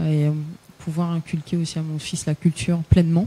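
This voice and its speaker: A woman's fairly low voice at a moderate pace, monotone and flat, in a dry, close sound with no echo. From Paris region, France. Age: 30s. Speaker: singer. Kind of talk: radio interview.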